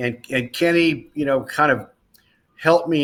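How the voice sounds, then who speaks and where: Here is a man with an unremarkable speaking voice. He keeps a moderate pace and ordinary pitch variation. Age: 60s. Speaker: racing driver turned motorsports broadcaster. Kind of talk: interview. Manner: casual, conversational.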